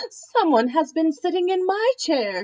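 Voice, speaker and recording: A woman does a put-on character voice at an extremely high pitch, with very wide pitch swings at a moderate pace. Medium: read story.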